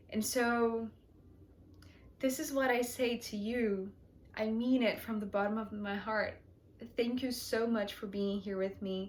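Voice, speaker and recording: The delivery is at a fairly slow pace with fairly even intonation. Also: woman. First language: not English. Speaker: tarot reader, channel host. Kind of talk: heartfelt thank-you monologue to viewers. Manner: hesitant, many fillers.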